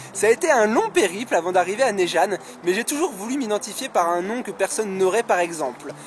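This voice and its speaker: Over noticeable background noise, a man speaks at a fairly quick pace. His voice is high-pitched with lively intonation. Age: 20s. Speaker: YouTuber, Pokémon card collector. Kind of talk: casual Q&A vlog. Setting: outdoors in a park.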